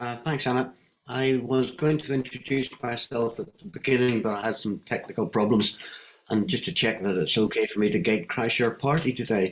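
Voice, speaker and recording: This man talks at a moderate pace. His pitch sits in the medium range. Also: lively intonation. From Northern Ireland. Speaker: wellbeing economy advocate. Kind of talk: online panel discussion.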